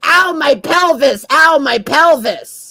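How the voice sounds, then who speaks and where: Putting on a character voice, a woman talks at a very slow pace in an extremely high pitch. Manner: complaining, whiny, repetitive.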